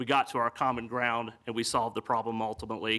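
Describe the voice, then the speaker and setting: Bright and sharp in tone, a man talks fairly quickly with a Southern US accent. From US South, East Tennessee. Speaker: city council candidate. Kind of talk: candidate forum speech. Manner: halting, many fillers.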